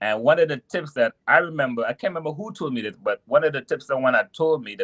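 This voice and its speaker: With a Trinidadian accent, a man speaks with lively intonation in a dry, close sound with no echo. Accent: Trinidadian island. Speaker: truck driver. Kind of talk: podcast interview. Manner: halting, many restarts.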